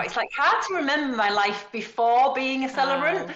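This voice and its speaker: Lively intonation and a fairly quick pace carry a Yorkshire accent. Audible room echo and noticeable background noise fill the recording. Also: woman. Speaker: wedding celebrant and trainer. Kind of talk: podcast interview.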